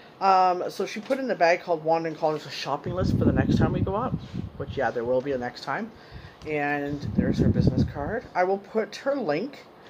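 Fairly quick speech against loud background noise. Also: woman. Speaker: haul vlogger. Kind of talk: casual vlog chat. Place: home room. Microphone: phone near.

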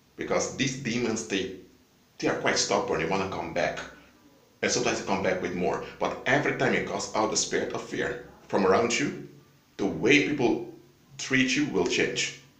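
A man speaks at a moderate pace with long, frequent pauses, with audible room echo. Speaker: vlogger. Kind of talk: casual vlog chat, preaching. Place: home room. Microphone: phone near.

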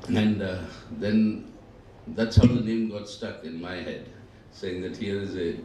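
The pace is moderate. There is light background noise along with audible room echo. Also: man. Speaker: guest lecturer. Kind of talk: lecture. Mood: reminiscent, warm. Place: hall. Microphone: podium.

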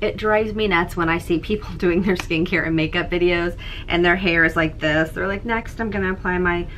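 Against light background noise, a woman speaks fairly quickly in a fairly low pitch. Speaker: beauty vlogger. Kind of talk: casual vlog chat. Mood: cheerful, laughing often. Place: home room.

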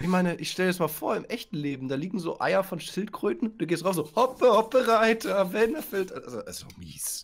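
On a very clean recording with a silent background, a man speaks at a high pitch with lively intonation. He goes at a fairly quick pace with hardly any pauses. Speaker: co-builder, fellow gaming youtuber. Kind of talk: casual gaming chat.

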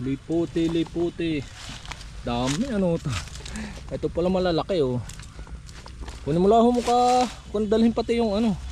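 The speech moves at a moderate pace with long, frequent pauses. Noticeable background noise runs underneath. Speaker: vlogger. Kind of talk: casual vlog narration outdoors. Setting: outdoors at a farm.

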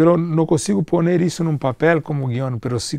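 A man's dark, mellow tone comes through at a moderate pace, the sound dry with no echo over a quiet background. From Brazil, São Paulo (born Rio de Janeiro). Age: 40s. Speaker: film producer; guest. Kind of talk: interview. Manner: halting, mixing Portuguese and Spanish. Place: hall.

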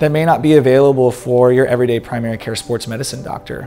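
Faint music plays in the background as a man speaks with an American accent. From Texas, San Antonio; Texas. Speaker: sports medicine doctor. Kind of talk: self-introduction. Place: studio. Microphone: lapel.

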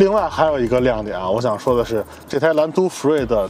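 A man's pitch swings very widely in a dry sound with no echo and light background noise. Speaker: car reviewer. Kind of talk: car review commentary. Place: car.

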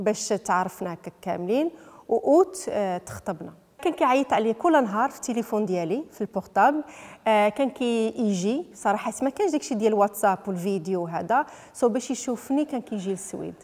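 A woman speaks in a plain, everyday voice at a moderate pace, her fairly high pitch carried by lively intonation. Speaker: footballer's wife; interviewee. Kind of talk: interview. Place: home room. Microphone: handheld.

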